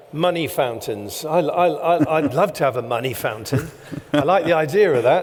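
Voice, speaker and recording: With lively intonation, a man talks at a moderate pace amid audible room echo and noticeable background noise. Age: 60s. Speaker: event host. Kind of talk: on-stage interview. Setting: stage with audience.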